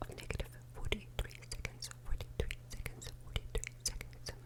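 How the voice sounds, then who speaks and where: Someone whispers at a moderate pace while noticeable background noise carries on around the voice. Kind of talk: ASMR book reading to help listeners sleep. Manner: whispered, soft.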